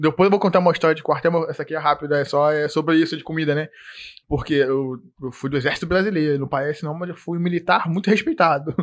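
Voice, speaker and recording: Speaking very fast with a Carioca accent, a man uses a fairly high pitch and fairly even intonation in a very clean recording with a silent background. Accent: carioca Brazilian Portuguese. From Rio de Janeiro, Nova Iguaçu (Baixada Fluminense). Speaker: IT support technician. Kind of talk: casual chat.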